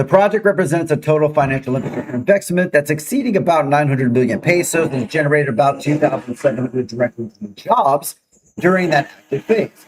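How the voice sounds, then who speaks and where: Fairly high in pitch, a man talks at a very fast pace with lively intonation. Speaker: live-stream news show host. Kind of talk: casual chat; news reading. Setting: live stream. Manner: loud.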